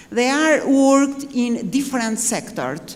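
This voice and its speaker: Noticeable background noise and audible room echo accompany the woman's voice. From Albania. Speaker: army general. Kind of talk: panel speech. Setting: conference panel. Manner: halting.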